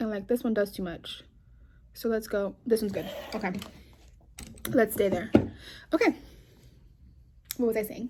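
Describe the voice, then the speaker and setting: A woman with an American accent speaks in a dark, mellow, somewhat breathy tone at a fairly high pitch, with ordinary pitch variation and long, frequent pauses. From New York. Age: 20s. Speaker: vlogger. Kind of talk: casual chat. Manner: fast.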